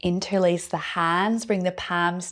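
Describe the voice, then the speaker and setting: A woman speaks in a Scottish accent with a calm, soothing tone. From Scotland. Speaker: yoga teacher. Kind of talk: guided yoga class instruction.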